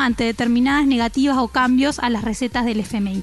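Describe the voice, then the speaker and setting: Noticeable background noise lies beneath a woman talking fairly quickly. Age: 30s. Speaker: radio host. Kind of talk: radio news report.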